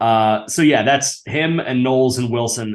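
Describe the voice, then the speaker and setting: With an ordinary speaking voice, a man talks at medium pitch using ordinary pitch variation. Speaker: sports podcast host. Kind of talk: casual chat.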